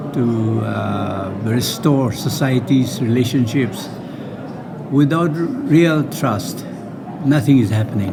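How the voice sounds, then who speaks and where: A man speaks very slowly at a medium pitch, with noticeable background noise. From Nagaland, Northeast India. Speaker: peace and reconciliation worker. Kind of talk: interview answer.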